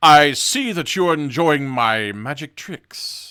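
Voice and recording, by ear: A booming, put-on character voice from a man, fairly high in pitch, very slow, with lively intonation.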